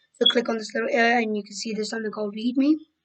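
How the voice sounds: A woman talks at a very fast pace in a fairly high voice, her intonation fairly even.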